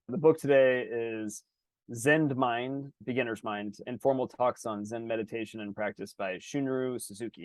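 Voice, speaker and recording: A man speaks at a medium pitch in an energetic tone, with ordinary pitch variation and big swings in loudness. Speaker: podcast co-host. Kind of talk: casual chat. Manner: fast.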